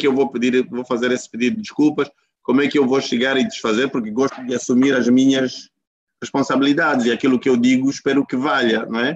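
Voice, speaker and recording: A man at a medium pitch, a very fast pace and ordinary pitch variation. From Angola, Huambo province. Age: 50s. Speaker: company executive, coach. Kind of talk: interview over video call. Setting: video call.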